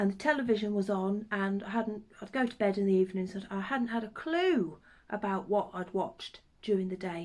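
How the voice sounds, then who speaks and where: In a Norfolk accent, the speaker keeps a moderate pace with ordinary pitch variation. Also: woman. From Norfolk, eastern England. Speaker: craft vlogger. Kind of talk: casual chat. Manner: hesitant with many ums.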